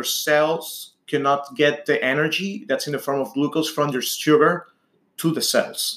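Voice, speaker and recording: A man with a Spanish accent talks at a fairly slow pace in a fairly high voice. The recording is very clean, with a silent background. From Venezuela. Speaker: type 1 diabetic patient advocate. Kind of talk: interview.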